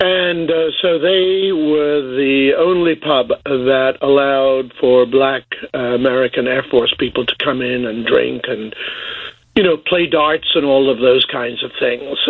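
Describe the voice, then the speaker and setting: A man with an English accent speaks at a fairly high pitch and a fairly slow pace. His pitch varies in an ordinary way, and there is noticeable background noise. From England (Boston, Lincolnshire). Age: 70s. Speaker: cooperative historian. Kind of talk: radio interview. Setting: phone call.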